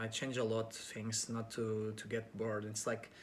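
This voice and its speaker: With a Portuguese accent, a man talks at a moderate pace and a medium pitch. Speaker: actor and pageant contestant. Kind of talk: interview answers to camera. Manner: halting, with many fillers; casual.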